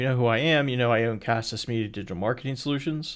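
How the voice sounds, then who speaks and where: A man at medium pitch with ordinary pitch variation, very clean recording, silent background. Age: 30s. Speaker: podcast host. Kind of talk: solo monologue. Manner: many fillers (um, uh).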